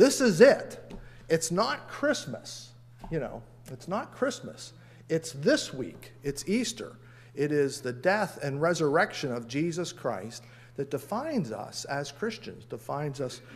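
Somewhat breathy, a man talks at a fairly slow pace with very wide pitch swings and big swings in loudness. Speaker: pastor. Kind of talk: sermon. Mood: humorous, lively. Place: church. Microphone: podium.

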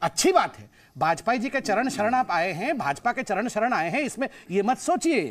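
A man talks in an extremely high pitch with very wide pitch swings. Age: 40s. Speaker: political spokesperson. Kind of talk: heated debate. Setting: public debate with audience. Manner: animated.

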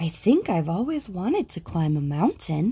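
A woman's put-on character voice, fairly low-pitched and fairly slow, with a dark, mellow tone, a husky, rough edge and big pitch swings.

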